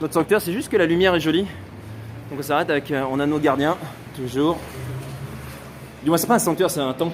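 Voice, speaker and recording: Speaking at a very fast pace, a man with a southern French accent uses a fairly high pitch and ordinary pitch variation. His speech is broken by long, frequent pauses. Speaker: photographer and travel vlogger. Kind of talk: live travel vlog walk and chat. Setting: outdoors. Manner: loud.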